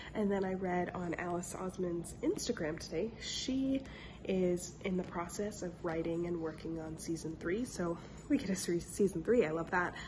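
A woman speaks at a moderate pace with a fairly low pitch and ordinary pitch variation. Noticeable background noise is present. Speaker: book vlogger. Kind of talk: casual talk to camera.

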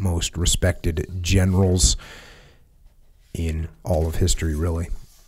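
Against a quiet background, a man speaks slowly-ish in a very deep, low pitch, his tone dark and mellow and somewhat breathy, at a fairly slow pace. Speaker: podcast host. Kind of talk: podcast commentary on a historical text. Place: studio. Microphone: studio mic.

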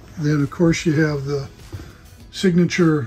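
The speech moves at a fairly slow pace. Faint music sits in the background. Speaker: boat salesperson. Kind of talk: sales walkthrough commentary. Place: shop. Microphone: phone near.

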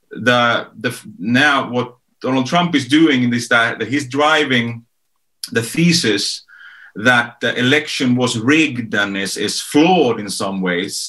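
The voice has a bright, sharp tone and a Swedish accent, at a very slow pace. Pitch varies in an ordinary way, and the background is quiet. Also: man. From Sweden. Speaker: author and strategist; guest. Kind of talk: panel discussion. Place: home room. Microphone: video call.

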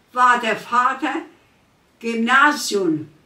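A woman speaks at a very slow pace. Audible room echo surrounds her voice. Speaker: care patient, war eyewitness. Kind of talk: interview answer. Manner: hesitant. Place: kitchen.

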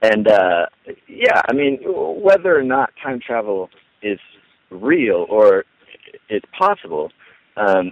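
Recorded dry with no echo, a man's voice moves through very wide pitch swings. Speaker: online radio ministry co-founder. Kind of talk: casual interview. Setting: phone call. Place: home room. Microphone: headset.

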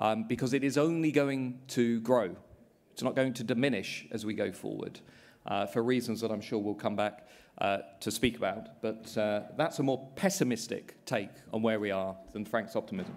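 A British accent at a moderate pace, with ordinary pitch variation. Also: man. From England. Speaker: politics professor. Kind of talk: panel discussion. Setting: stage with live audience. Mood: measured, somewhat pessimistic. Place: hall.

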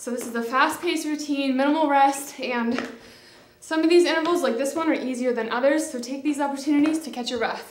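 Against light background noise and audible room echo, a woman speaks at a fairly quick pace with a high pitch and fairly even intonation. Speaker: fitness instructor. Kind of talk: follow-along workout coaching, counting down intervals while exercising. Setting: home workout video filmed while exercising. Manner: breathless, clipped countdown cues mid-exertion. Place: studio.

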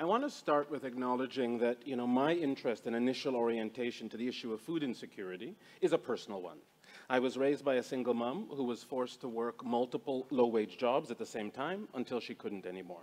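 A man talking very fast, with ordinary pitch variation. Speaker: speaker. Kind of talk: panel presentation, personal story. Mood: earnest, reflective. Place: hall.

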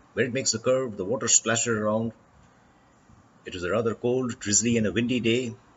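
Over light background noise, a man talks at a fairly quick pace in a somewhat breathy voice. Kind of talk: travel commentary.

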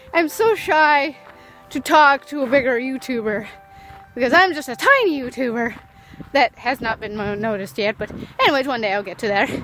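Her high-pitched voice moves at a moderate pace with long, frequent pauses, the sound dry with no echo and faint music playing in the background. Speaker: small vlogger. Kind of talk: casual vlog chat. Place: street. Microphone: phone near.

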